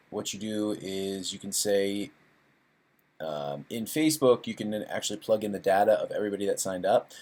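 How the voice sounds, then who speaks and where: The recording is very clean, with a silent background. A man talks fairly quickly at a fairly low pitch. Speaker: online marketing tutor. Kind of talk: screen-share tutorial. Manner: fast; casual, with many fillers.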